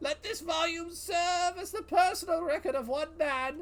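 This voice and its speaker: A put-on character voice sits at an extremely high pitch and sounds strained. It moves at a moderate pace. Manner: theatrical, strained character voice.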